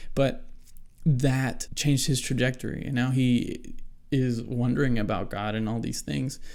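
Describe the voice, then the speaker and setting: A man with a medium pitch speaks in a monotone, flat way at a fairly slow pace. Audible room echo surrounds his voice. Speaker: solo podcaster. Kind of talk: casual monologue on faith. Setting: small hot room. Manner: stutters, halting.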